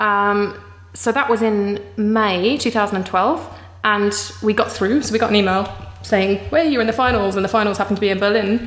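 A woman with an English accent speaks at a medium pitch and moderate pace with fairly even intonation. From England. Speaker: startup co-founder. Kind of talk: interview.

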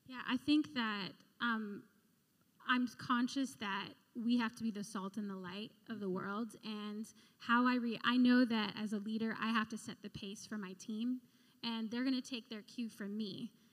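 Speaking at a moderate pace, a woman with a fairly high pitch sounds somewhat breathy, with fairly even intonation. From Philippines. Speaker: recruitment director. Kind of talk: testimony. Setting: church.

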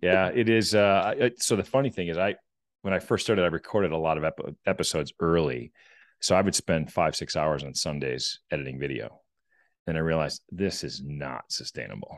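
Over a quiet background, a man talks fairly quickly at a very deep, low pitch with lively intonation and vocal fry. The sound is dry and close, with no echo. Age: 50s. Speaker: business executive and podcast host. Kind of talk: casual interview conversation.

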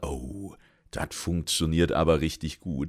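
On a very clean recording with a silent background, a man speaks at a very deep, low pitch with vocal fry and ordinary pitch variation. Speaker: gaming lore podcaster. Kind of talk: solo lore commentary. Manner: casual, colloquial.

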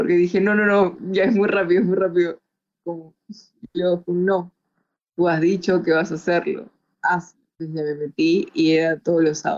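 A woman's plain, everyday voice, fairly low in pitch, with fairly even intonation at a moderate pace. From Peru, Chiclayo. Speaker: film art producer and beauty queen. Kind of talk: interview.

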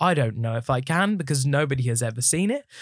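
With a southern English accent, a man talks at a fairly quick pace and medium pitch, somewhat breathy and with lively intonation, on a very clean recording with a silent background and a dry, close sound with no echo. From southern England, Watford. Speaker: musical theatre actor and headshot photographer. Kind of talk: casual chat. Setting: studio.

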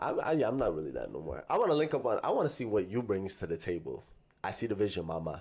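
Speaking very fast with a Toronto accent, a man uses a fairly low pitch and very wide pitch swings. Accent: Toronto (Scarborough) urban Canadian English. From Toronto, Scarborough. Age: 20s. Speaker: rapper and spoken word artist. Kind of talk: casual chat.

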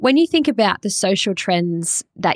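A woman with an Australian accent talks at a moderate pace in a dry, close sound with no echo. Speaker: podcast host. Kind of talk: scripted intro; interview.

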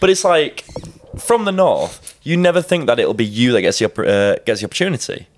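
Noticeable background noise sits behind the recording. A man with a northern English accent talks at a fairly quick pace. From Yorkshire.

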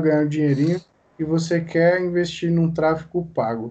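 A man's dark, mellow voice, fairly high in pitch, with fairly even intonation. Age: young. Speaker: podcast host. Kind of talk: casual interview.

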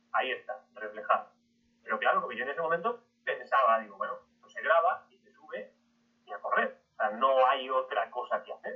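Here a man is speaking. His pace is moderate. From Spain, southern Madrid region. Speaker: history podcaster. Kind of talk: interview talk to an audience.

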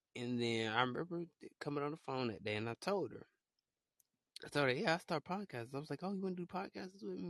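This man talks at a fairly quick pace with an animated tone and lively intonation. The sound is dry and close, with no echo. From Alabama. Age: 20s. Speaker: podcast host. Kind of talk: casual chat.

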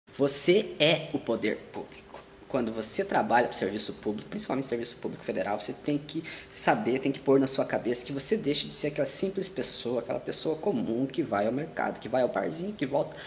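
A man at a fairly high pitch with lively intonation and a fairly quick pace, over noticeable background noise. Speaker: federal civil servant and video creator. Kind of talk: online video tutorial.

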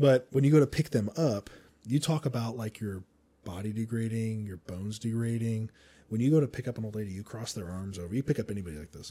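Very fast and with big swings in loudness, a man's dark, mellow voice moves at a medium pitch with ordinary pitch variation. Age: 30s. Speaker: podcast host. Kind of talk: casual interview chat.

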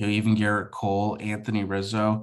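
Speaking at a moderate pace, a man with a fairly low pitch comes through on a very clean recording with a silent background. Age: 20s. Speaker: baseball fan. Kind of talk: casual chat. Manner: hesitant, many fillers.

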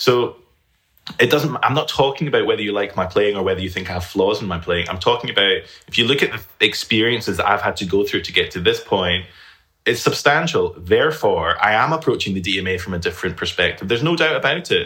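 A man talks at a fairly quick pace with a Scottish accent. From Scotland. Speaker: flutist and teacher. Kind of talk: casual interview conversation.

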